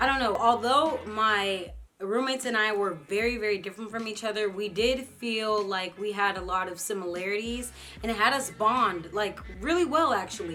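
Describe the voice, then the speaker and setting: In a room with audible echo, a woman with an American accent talks at a fairly high pitch. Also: ordinary pitch variation, moderate pace. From United States, Nigerian family. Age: 20s. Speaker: YouTube vlogger. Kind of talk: casual vlog talk to camera. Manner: casual, with frequent fillers.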